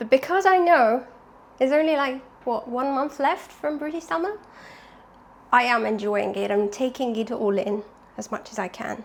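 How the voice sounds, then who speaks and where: A woman's high-pitched voice with lively intonation at a moderate pace, broken by long, frequent pauses, over noticeable background noise. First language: not English. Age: 20s. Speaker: vlogger. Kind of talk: casual vlog. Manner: chatty.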